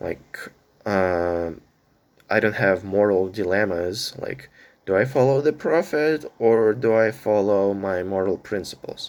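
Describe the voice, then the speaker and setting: Talking at a fairly slow pace, a man uses a fairly low pitch with ordinary pitch variation. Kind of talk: personal monologue vlog. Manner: halting, many fillers.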